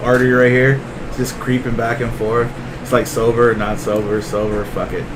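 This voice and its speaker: A man speaks at medium pitch and a moderate pace, with monotone, flat intonation. Noticeable background noise and audible room echo surround the voice. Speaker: podcast co-host. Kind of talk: casual chat. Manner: halting.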